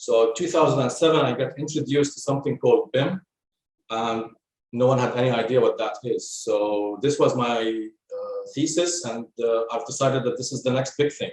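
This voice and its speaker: At a moderate pace, a man speaks at a medium pitch with ordinary pitch variation and a somewhat breathy quality. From Lebanon. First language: Arabic. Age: 40s. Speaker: construction technology specialist. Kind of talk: podcast interview. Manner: halting, with fillers.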